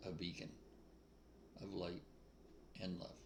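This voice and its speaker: An American accent with audible room echo. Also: man. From New England, US. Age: 80s+. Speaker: spiritual speaker. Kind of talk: casual spiritual monologue. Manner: informal, off the cuff.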